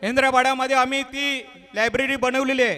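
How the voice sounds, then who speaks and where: Over noticeable background noise, a man uses a raised, projected voice. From Maharashtra, Raigad/Thane region (Agri community). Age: 50s. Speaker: businessman and local community leader. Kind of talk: speech to an audience.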